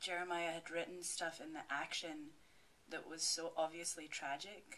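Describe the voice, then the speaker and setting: In a Scottish accent, a woman talks at a moderate pace with a bright, sharp tone. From Scotland. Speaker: actress. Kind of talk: Q&A after film screening.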